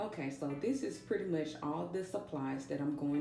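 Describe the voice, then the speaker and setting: Over music in the background and audible room echo, a woman talks at a moderate pace in a very deep, low voice with ordinary pitch variation. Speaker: DIY video host and realtor. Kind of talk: tutorial. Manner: casual, chatty.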